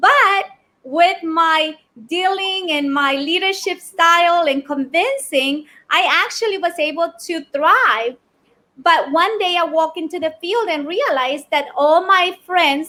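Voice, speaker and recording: Raised and projected, a woman's extremely high, bright, sharp voice moves with lively intonation. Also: fairly slow pace. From Ecuador. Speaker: business owner, keynote speaker. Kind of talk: podcast interview answer.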